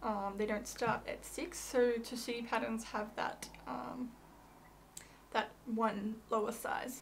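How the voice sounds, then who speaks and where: A woman speaks very slowly in an Australian accent, her fairly high voice monotone and flat, with audible room echo. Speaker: fabric shop presenter. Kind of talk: product tutorial. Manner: casual, hesitant with many fillers.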